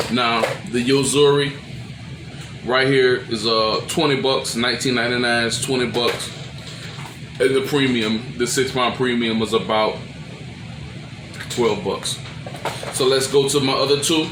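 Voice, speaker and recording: A man talks at a fairly slow pace, leaving long, frequent pauses, with music in the background. His pitch is medium and his intonation fairly even. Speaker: crappie angler. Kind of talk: casual talk to camera.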